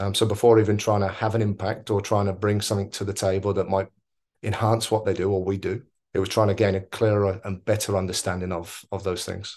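A man with a southern English accent talks at a very fast pace and fairly low pitch. His intonation is monotone and flat, over a quiet background. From Oxford, southern England. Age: 30s. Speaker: football coach. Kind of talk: interview. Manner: hesitant, many fillers.

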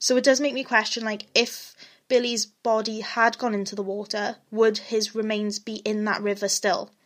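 A woman with a Welsh accent speaks at a moderate pace and a fairly high pitch in a flat monotone. The recording is very clean, with a silent background. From Wales. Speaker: true crime podcaster. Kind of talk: scripted-ish narration of a true crime case, casual intro. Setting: home recording, alone at microphone. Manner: hesitant, uses many ums, self-deprecating.

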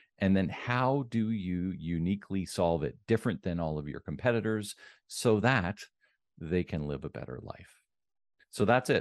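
Recorded with a dry, close sound with no echo and a quiet background, a man in a normal speaking voice talks at a moderate pace with fairly low pitch and lively intonation. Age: 50s. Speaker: business coach. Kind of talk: interview.

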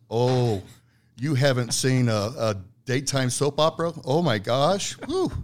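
The man has a normal speaking voice at medium pitch, with ordinary pitch variation. He talks at a fairly slow pace and his loudness stays very even. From Italian-American heritage. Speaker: agency founder and business development guest. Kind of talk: casual interview conversation.

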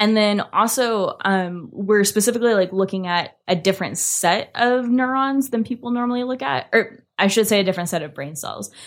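A woman with an American accent speaks in an unremarkable speaking voice, fairly high in pitch with ordinary variation. She keeps a moderate pace with hardly any pauses, in a very clean recording with a silent background. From US, small rural farming town. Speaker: behavioral neuroscientist. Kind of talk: casual interview. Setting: in-person studio recording.

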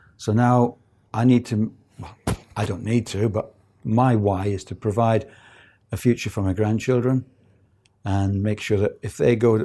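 A man with a fairly low pitch and a dark, mellow, somewhat breathy tone speaks at a moderate pace with fairly even intonation, in a very clean recording with a silent background. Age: 60s. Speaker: property investor. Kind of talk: interview. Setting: studio.

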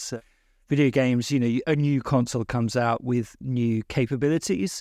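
A plain, everyday voice from a man at medium pitch, with fairly even intonation, a dry, close sound with no echo, and a quiet background. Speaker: games writer and podcaster.

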